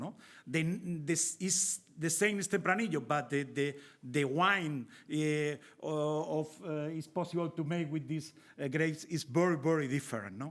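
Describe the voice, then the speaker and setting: On a very clean recording with a silent background, a man with a Spanish accent speaks at a high pitch and a moderate pace, with ordinary pitch variation. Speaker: winemaker and viticulture expert. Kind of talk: panel presentation. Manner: halting.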